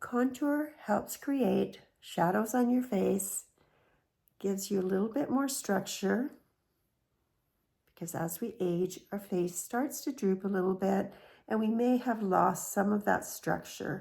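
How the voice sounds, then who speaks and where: This woman speaks at a fairly slow pace. Her voice is somewhat breathy. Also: medium pitch for a woman, ordinary pitch variation. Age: 60s. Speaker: beauty vlogger. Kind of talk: tutorial.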